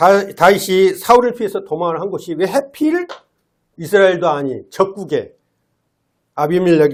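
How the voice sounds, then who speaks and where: Lively intonation carries this voice along at a moderate pace. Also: man. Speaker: lay preacher. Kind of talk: sermon. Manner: frequent filler sounds.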